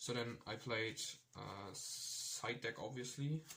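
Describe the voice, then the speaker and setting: A man's very slow speech with a non-native accent and a bright, sharp tone. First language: not English. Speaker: card game player giving tournament report. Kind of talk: casual tutorial monologue. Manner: halting, many fillers and restarts.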